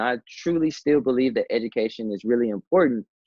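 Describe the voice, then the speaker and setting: A man's medium-pitched, normal speaking voice with an American accent at a moderate pace. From US South, Memphis, Tennessee. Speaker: digital storyteller and entrepreneur. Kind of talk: interview.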